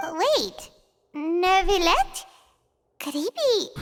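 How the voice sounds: A put-on character voice pitched extremely high.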